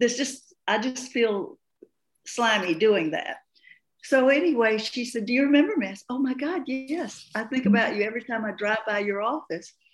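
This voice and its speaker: A woman with an American accent speaks at a high pitch and a moderate pace, with lively intonation. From US South, Appalachian Georgia. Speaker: breathwork facilitator and coach. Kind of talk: interview. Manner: halting.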